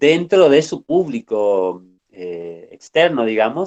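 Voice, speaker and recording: A man's voice swings very widely in pitch, recorded with a dry, close sound and no echo. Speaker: university lecturer. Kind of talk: online lecture.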